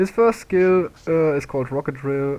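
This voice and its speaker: A man speaks with a non-native accent and ordinary pitch variation. Noticeable background noise runs beneath him. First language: not English. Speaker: gaming video creator. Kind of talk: tutorial. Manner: halting, many fillers.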